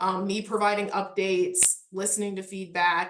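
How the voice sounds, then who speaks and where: With a Midwestern accent, a woman speaks at a medium pitch. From US Midwest. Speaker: parks historic resources manager. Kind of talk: casual interview.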